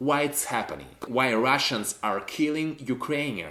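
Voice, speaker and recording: Pitch moves in an ordinary way as the man talks. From Ukraine, Kyiv. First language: Russian. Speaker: vlogger. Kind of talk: personal monologue to camera.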